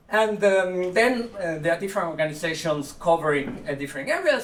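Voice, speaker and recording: A man speaking at a fairly quick pace with ordinary pitch variation over noticeable background noise. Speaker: conference speaker on animal ethics. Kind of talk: conference talk. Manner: fast.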